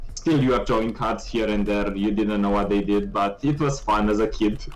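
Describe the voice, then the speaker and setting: A man's fairly low voice at a moderate pace, with very even loudness and fairly even intonation, amid audible room echo and music in the background. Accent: Romanian. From Romania. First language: Romanian. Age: 20s. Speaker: esports caster. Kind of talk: casual chat.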